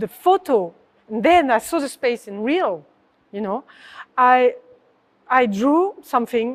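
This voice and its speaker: This woman has a high pitch and a French accent. She speaks at a fairly slow pace. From southern France. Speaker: artist. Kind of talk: interview. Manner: halting.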